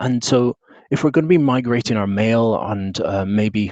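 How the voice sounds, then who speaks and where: The speaker has a British accent. The sound is dry and close with no echo, over a quiet background. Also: man. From UK. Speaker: tech consultant and trainer. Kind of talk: webinar presentation. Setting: video call with screen share. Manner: casual with frequent fillers.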